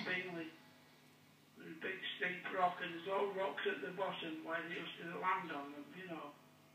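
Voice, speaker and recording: Against noticeable background noise, a man with a high pitch talks at a moderate pace with fairly even intonation. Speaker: prison inmate. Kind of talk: recorded phone conversation. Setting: phone line.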